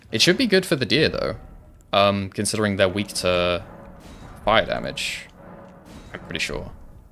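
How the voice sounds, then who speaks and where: The speech moves at a moderate pace, broken by long and frequent pauses. Music plays in the background. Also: man. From Wales. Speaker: gaming streamer. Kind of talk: live gameplay stream chat. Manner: soft-spoken; casual, filler-heavy.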